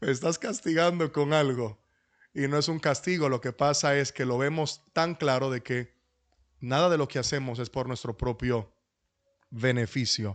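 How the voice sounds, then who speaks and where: With a Dominican accent, a man talks at a fairly slow pace in a fairly high voice with ordinary pitch variation against a quiet background. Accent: Dominican, lingering. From Dominican Republic. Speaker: pastor. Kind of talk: lecture.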